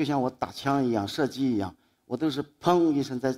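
Against a quiet background, a man talks at a moderate pace. His pitch shows ordinary variation. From Anhui, Dingyuan county (Chuzhou); Anhui. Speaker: photographer. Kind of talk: public talk; public talk storytelling. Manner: halting. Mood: calm, reflective, lightly humorous. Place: stage. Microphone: headset.

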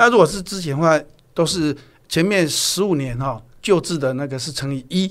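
The pitch moves in an ordinary way at a moderate pace. The background is quiet. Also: man, fairly high pitch for a man. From Taiwan. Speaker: human resources executive; guest. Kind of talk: interview. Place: studio. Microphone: studio mic.

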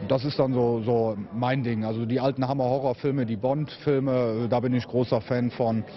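A man at a medium pitch and a moderate pace, ordinary pitch variation, light background noise. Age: 30s. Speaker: event host. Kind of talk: interview. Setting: at a convention venue. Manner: hesitant, many fillers. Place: hall.

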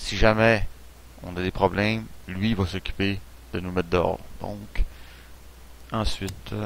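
The delivery moves at a fairly slow pace with long, frequent pauses. Loudness swings widely, while pitch variation stays ordinary. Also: man, very deep, low pitch for a man. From Quebec. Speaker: gaming YouTuber. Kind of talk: let's play commentary. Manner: hesitant, many fillers.

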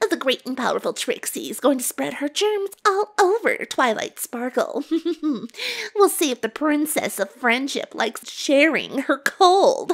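A female-sounding voice puts on a character voice pitched high for a woman. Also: moderate pace. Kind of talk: comic dub.

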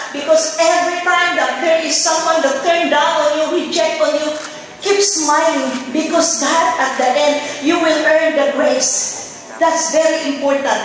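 A woman talks at a moderate pace in an extremely high pitch, her intonation monotone and flat and her loudness very even, with strong room echo and light background noise. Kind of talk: acceptance speech. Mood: emotional, fervent, religious. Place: stage.

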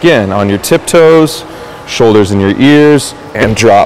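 Very wide pitch swings from a male speaker, with light background noise behind him. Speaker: fitness instructor. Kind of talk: tutorial; coaching cues. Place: gym.

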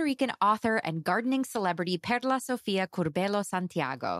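A woman speaks in a warm, enthusiastic tone at a fairly quick pace, with very wide pitch swings. The recording is very clean with a silent background, dry and close with no echo. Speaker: podcast host and author. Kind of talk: casual interview chat.

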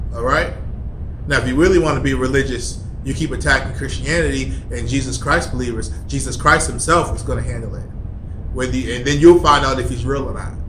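A man's very fast speech comes with light noise in the background. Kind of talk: angry rant, preachy vlog. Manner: emphatic, insistent, repeating points with heated force. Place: office. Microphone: phone near.

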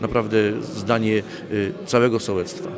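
A man is speaking. There is noticeable noise in the background. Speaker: village head (mayor). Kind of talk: interview statement. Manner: halting, hesitant with fillers. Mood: calm, reflective. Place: hall. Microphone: handheld.

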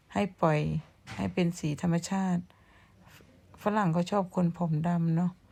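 A woman's fairly low, somewhat breathy voice, dark and mellow in tone, with fairly even intonation. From Thailand, Surin province. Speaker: vlogger. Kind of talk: casual vlog chat. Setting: outdoors behind the house.

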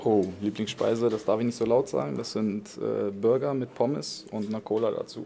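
Speaking at a moderate pace over light background noise, a man uses a fairly low pitch and lively intonation. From Lower Saxony, Germany (Wolfsburg area); Lower Saxony. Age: 20s. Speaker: professional footballer; guest. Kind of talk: question-and-answer interview with young fans. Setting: stadium fan area before a match. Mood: relaxed, friendly. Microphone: handheld.

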